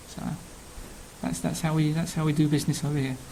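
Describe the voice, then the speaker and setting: A man speaks in a London accent. His fairly high voice is monotone and flat. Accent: Cockney London. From London, Old Kent Road. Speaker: television researcher. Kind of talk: casual self-introduction. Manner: hesitant, many fillers.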